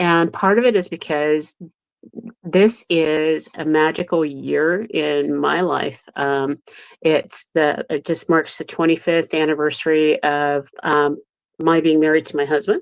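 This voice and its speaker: A woman's very deep, low voice at a fairly slow pace, with fairly even intonation and a dry, close sound with no echo. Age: 60s. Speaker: show co-host. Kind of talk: live show casual chat.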